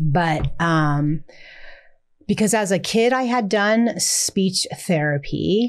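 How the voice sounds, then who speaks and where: Very slowly and at very even loudness, a woman speaks at medium pitch on a very clean recording with a silent background. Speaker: special education teacher. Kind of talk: interview answer.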